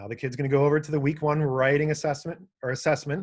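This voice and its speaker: A somewhat breathy voice at a fairly quick pace. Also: man. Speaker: webinar presenter. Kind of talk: webinar tutorial. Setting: online webinar. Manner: fast; casual.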